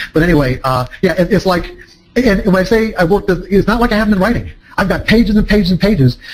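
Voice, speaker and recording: Very fast and at a very even loudness, a man speaks in a high pitch against noticeable background noise. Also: ordinary pitch variation. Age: 60s. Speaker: trading psychology author and speaker. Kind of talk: seminar talk to a live audience. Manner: halting, many fillers and restarts.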